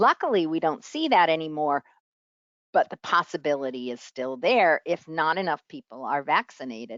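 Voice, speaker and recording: Speaking with a New York accent, a woman talks at a fairly slow pace with lively intonation. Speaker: public health professor. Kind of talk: lecture.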